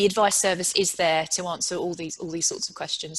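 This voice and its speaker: A woman with a British accent speaks at a medium pitch with fairly even intonation over a quiet background. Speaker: panel moderator, chief executive; panel moderator. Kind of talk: panel discussion moderation. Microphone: video call.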